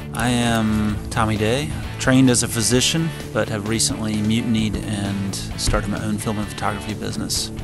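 A man speaks in a dry sound with no echo while clear music plays in the background. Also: ordinary pitch variation, moderate pace. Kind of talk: interview answer. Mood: reflective, candid. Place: home room.

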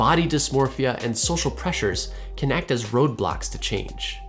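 Faint music plays behind a man speaking at a moderate pace. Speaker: educational video host. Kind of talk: educational explainer. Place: home room.

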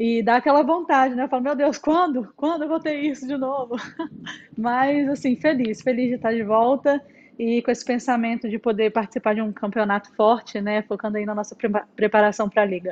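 With ordinary pitch variation, a woman speaks fairly quickly in a high-pitched voice. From Brazil. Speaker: volleyball player; guest. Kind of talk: casual chat. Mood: cheerful, relaxed. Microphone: earbuds.

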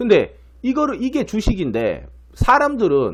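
A man is speaking. His tone is animated. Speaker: stock market commentator. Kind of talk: market commentary. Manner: many filler sounds.

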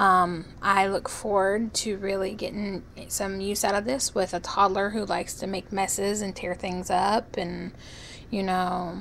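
Noticeable background noise sits behind a woman speaking at a fairly slow pace. Her medium-pitched voice is monotone and flat. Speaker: product reviewer. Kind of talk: product review to camera. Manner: hesitant, with stutters and pauses.

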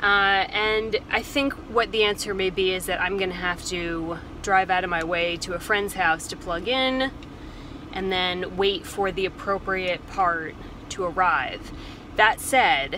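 Fairly slow delivery with ordinary pitch variation, a dry sound with no echo, and light background noise. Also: woman. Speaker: van life vlogger. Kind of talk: casual vlog chat. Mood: frustrated but composed. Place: car. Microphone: phone near.

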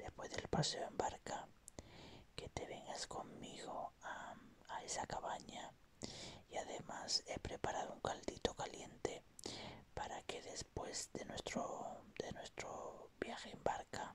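Whispering at a very slow pace, a man uses a calm, gentle tone. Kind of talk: ASMR relaxation roleplay for sleep. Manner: calm, gentle, soothing.

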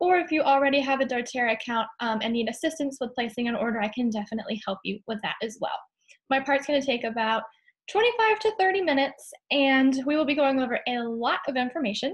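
With lively intonation and a high pitch, a woman talks very fast over a quiet background. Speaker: host of a product class. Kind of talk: online class presentation. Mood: friendly, earnest. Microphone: webcam.

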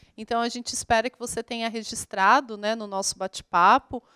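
A woman speaks in a bright, sharp tone at a moderate pace with ordinary pitch variation. The background is quiet. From Brazil, Minas Gerais (Poços de Caldas); Minas Gerais, Brazil. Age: 30s. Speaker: geography teacher. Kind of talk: online lesson for school pupils. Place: studio. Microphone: handheld.

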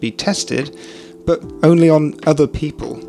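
The speaker is male. Faint music sits in the background. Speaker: commentary youtuber. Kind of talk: commentary. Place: home room. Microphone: studio mic.

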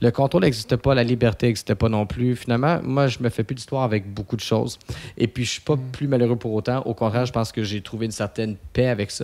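Words pour out at a very fast pace. The intonation keeps fairly even. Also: man. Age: 30s. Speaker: posturologist; podcast guest. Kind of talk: casual interview. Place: studio. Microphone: studio mic.

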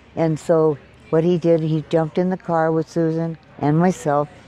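A woman talks in a very deep, low voice. The sound is dry with no echo, and there is light background noise. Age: 80s+. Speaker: wildfire survivor, former actress. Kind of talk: interview answer. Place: hall.

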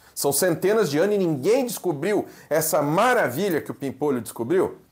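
The surroundings are quiet. Against them, a man's intonation sounds lively. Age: 40s. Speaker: pastor and theology teacher; pastor, seminary teacher. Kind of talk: lecture. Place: home room. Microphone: lapel.

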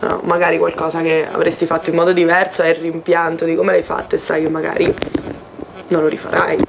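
Music plays in the background. The speech moves at a fairly quick pace. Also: woman. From Umbria, central Italy (Foligno). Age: 20s. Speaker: university student. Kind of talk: casual chat. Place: home room. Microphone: camera far.

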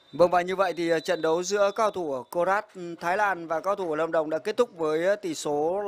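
With a pitch that sits high, a man talks using ordinary pitch variation. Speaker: football commentator. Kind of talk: live football commentary. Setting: stadium, live broadcast.

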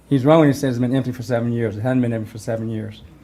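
At a very fast pace, a voice with a dark, mellow tone and an American accent keeps a fairly even intonation amid audible room echo. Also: man. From Bisbee, Arizona. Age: 60s. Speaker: resident speaking at public comment. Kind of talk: public comment. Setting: city council meeting. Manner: halting, repeats words.

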